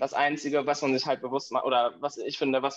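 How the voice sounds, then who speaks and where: A man speaks at a fairly high pitch in a monotone, flat delivery. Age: 20s. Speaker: podcast guest, cochlear implant user. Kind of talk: casual interview conversation.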